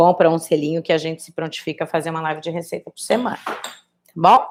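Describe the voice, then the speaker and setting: A woman talks in an ordinary speaking voice, fairly low in pitch. Her pace is fairly quick and her intonation fairly even. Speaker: cooking instructor. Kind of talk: live cooking tutorial. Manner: casual, chatty.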